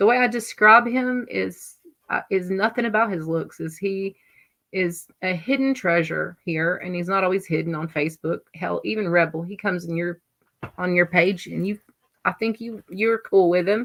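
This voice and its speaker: A woman speaks in a Southern US accent. Her pitch is medium, with ordinary pitch variation. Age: 40s. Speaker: livestream host. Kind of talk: casual chat. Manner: slow.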